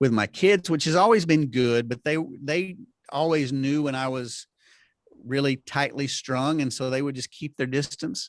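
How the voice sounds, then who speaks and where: Recorded very cleanly with a silent background and a dry, close sound with no echo, a man speaks at a moderate pace, his fairly high pitch showing ordinary variation. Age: 50s. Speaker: health care and media executive. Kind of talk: casual interview chat. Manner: halting with many repetitions.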